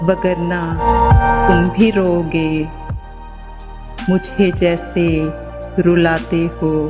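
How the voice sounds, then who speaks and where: With music in the background, a woman talks in fairly even intonation. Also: fairly low pitch for a woman. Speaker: narrator. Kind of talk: poetry reading. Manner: sad, emotional.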